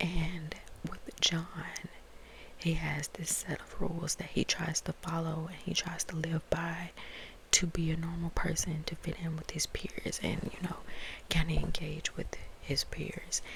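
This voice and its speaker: Noticeable background noise sits under a woman's soft-spoken whisper, which moves at a fairly slow pace. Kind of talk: book review, talking to camera. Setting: ASMR video. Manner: soft-spoken, whispered.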